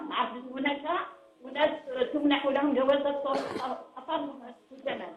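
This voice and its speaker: Fairly slow and monotone with flat intonation, a high-pitched woman speaks over noticeable background noise with audible room echo. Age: 70s. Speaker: caller. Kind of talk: phone-in question.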